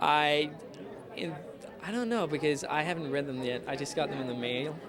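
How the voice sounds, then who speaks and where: Amid crowd noise and audible room echo, a man talks at a moderate pace and a fairly high pitch with ordinary pitch variation. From Denmark. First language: Danish. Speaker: actor. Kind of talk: interview. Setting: fan convention. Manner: hesitant, many fillers.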